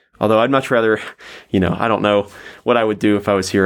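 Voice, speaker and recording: Someone speaks with a Southern US accent in a very clean recording with a silent background. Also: man. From US South, Tennessee (Nashville). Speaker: English language assistant. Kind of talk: interview. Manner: casual, hesitant with fillers.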